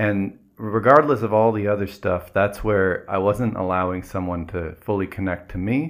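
Using an ordinary speaking voice, a man with a fairly low pitch talks at a moderate pace with ordinary pitch variation and hardly any pauses. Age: 40s. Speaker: podcast co-host and mindset coach. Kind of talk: casual chat.

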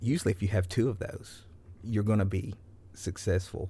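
In a very clean recording with a silent background, a man with an American accent talks in a fairly low, somewhat breathy voice with fairly even intonation. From US South. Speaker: business founder, Navy veteran. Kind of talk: casual interview. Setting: tour bus.

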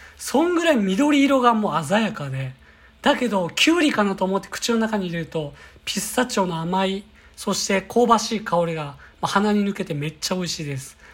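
A woman talks at a fairly quick pace in a medium, somewhat breathy voice with very wide pitch swings. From Kyoto. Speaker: company employee, bread enthusiast. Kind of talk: monologue podcast, recommendations. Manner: polite, formal.

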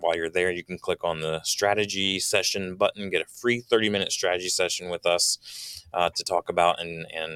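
A man at a fairly quick pace in a dry, close sound with no echo. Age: 40s. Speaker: business podcast co-host. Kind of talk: casual chat.

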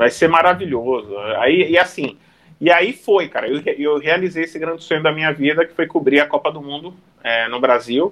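Fairly high in pitch, an unremarkable speaking voice, a man talks at a moderate pace with ordinary pitch variation and big swings in loudness. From Santos, São Paulo coast, Brazil. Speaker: sports journalist, TV reporter. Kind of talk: casual chat. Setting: online live stream.

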